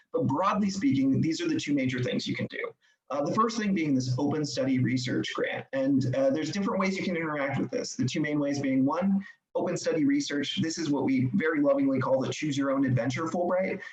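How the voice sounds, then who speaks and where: A man talks at a fairly quick pace with lively intonation and a fairly high pitch. The room echo is audible. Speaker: study abroad program representative. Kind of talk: presentation. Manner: fast.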